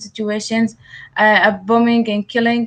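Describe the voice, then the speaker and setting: With an Arabic accent, a woman speaks at a moderate pace and a fairly high pitch. Her intonation is monotone and flat. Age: 20s. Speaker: writer and activist. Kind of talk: interview. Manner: halting, many hesitations.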